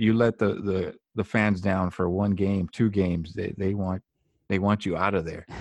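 A man's normal speaking voice, fairly low in pitch and fairly slow, dry and close with no echo, over a quiet background. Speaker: podcast host. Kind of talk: casual conversation. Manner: faith-focused, sincere.

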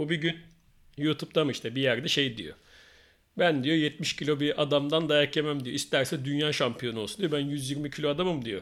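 In a very clean recording with a silent background, a man with a fairly high pitch uses a plain, everyday voice at a moderate pace with fairly even intonation. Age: 40s. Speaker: podcast host. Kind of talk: casual chat.

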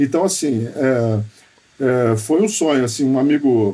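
Speaking at a fairly slow pace, a man with an unremarkable speaking voice keeps a medium pitch and ordinary pitch variation. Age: 40s. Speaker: guitarist and home studio owner. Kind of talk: casual interview chat.

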